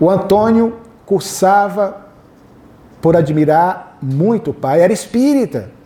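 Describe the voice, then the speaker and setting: Noticeable background noise is present. The intonation is lively. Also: man. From Northeast Brazil, Fortaleza, Ceará. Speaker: spiritist lecturer and biographer. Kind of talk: lecture. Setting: hall with live audience, PA microphone.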